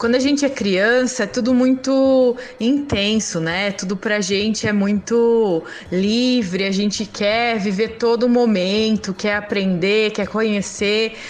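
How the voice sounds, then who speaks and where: Noticeable background noise sits behind a woman speaking at a very slow pace. Her loudness stays very even and her intonation fairly even. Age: 30s. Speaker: single mother and pedagogy student. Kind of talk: casual interview testimony.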